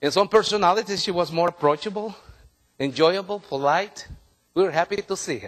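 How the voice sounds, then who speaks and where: A man talks fairly quickly in a high voice. His tone is animated, with big swings in loudness. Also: ordinary pitch variation. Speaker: workshop trainer. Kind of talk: workshop presentation. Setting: room with live audience. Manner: animated, interactive.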